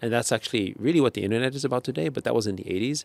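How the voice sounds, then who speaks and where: A man talks very fast with vocal fry, his medium pitch rising and falling in an ordinary way. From Austria, Vienna. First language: German. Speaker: tech entrepreneur. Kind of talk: interview. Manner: hesitant, many fillers.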